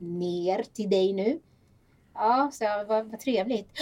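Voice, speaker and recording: A plain, everyday voice with lively intonation at a fairly slow pace. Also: woman. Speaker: podcast host. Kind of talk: casual chat.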